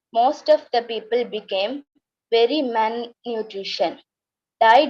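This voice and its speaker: Speaking in a Tamil accent, a woman has a fairly high pitch and a dark, mellow tone. Her pace is very slow, with ordinary pitch variation. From Tamil family from Sri Lanka, raised in Indonesia. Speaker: refugee storyteller. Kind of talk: reading aloud.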